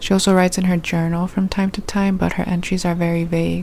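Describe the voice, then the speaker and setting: A soft-spoken woman with a medium pitch talks at a moderate pace in a calm tone, her intonation monotone and flat. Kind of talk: soft-spoken ASMR movie review. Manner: soft-spoken, calm.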